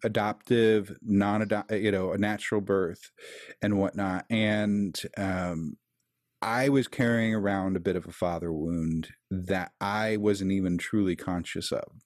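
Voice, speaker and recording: A man speaks at a fairly slow pace with a fairly low pitch and an ordinary speaking voice, recorded very cleanly against a silent background. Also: fairly even intonation. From Kansas City, US Midwest. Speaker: tech support worker and keto podcast host. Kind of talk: casual interview.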